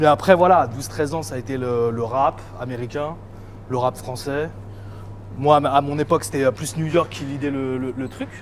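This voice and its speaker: A man speaks with long, frequent pauses and ordinary pitch variation. Noticeable background noise is present. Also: medium pitch for a man, moderate pace. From Île-de-France, France (Val-de-Marne). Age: 30s. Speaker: music producer and DJ. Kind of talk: casual interview. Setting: in a shop. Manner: casual, hesitant with fillers.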